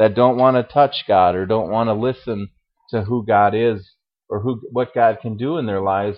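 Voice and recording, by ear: Someone is reading aloud in a natural voice, with a quiet background behind.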